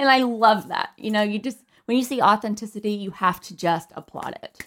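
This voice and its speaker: A woman speaks at a fairly quick pace in a plain, everyday voice. Her pitch sits in the medium range with ordinary variation. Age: 30s. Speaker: podcast co-host. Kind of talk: casual chat.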